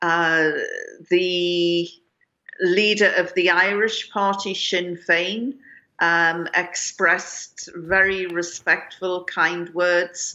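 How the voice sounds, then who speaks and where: Against a quiet background, a woman with a British accent speaks at a very slow pace in a monotone, flat intonation. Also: fairly low pitch for a woman. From UK. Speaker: journalist and political analyst; journalist, political analyst. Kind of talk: news interview. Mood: somber, measured. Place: home room. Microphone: video call.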